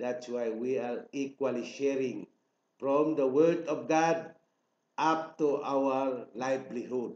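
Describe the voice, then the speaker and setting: Very slowly and with fairly even intonation, a man speaks in a room with audible echo. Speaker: self-proclaimed royal claimant. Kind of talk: political proclamation. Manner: formal. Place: home room. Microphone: webcam.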